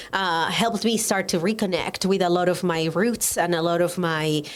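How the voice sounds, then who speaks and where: A woman with a Colombian accent speaks at a moderate pace. Her pitch is fairly low. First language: Spanish. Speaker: educator and writer, former pastor. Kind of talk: podcast interview.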